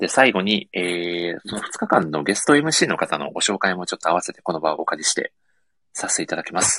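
The speech moves at a fairly quick pace with big swings in loudness. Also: man, very deep, low pitch for a man, lively intonation, dry, close sound with no echo. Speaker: podcast host. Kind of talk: casual chat. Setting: online live audio stream with earphones.

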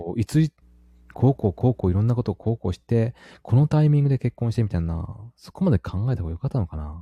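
Over a very clean, silent background with a dry, close sound and no echo, a man with medium pitch, a somewhat breathy, dark, mellow tone and very wide pitch swings talks at a very fast pace. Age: 30s. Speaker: married father of a young child. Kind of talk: casual chat.

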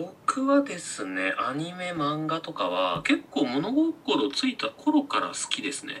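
Over noticeable background noise, a man speaks at a very slow pace with hardly any pauses. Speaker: makeup artist. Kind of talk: casual chat. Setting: video call.

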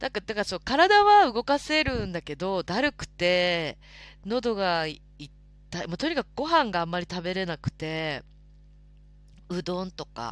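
Over music in the background, a woman at a medium pitch swings very widely in pitch while keeping a fairly slow pace. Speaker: live stream host. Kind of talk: casual chat. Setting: live audio stream. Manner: polite.

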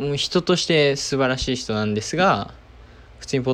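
This man talks at a fairly quick pace. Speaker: entrepreneur podcaster. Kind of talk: casual solo diary talk. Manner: halting, many fillers.

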